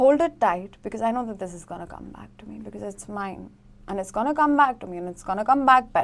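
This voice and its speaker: In a very clean recording with a silent background, a woman speaks at a very fast pace and a fairly high pitch with lively intonation. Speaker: tarot reader. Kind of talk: tarot reading to camera.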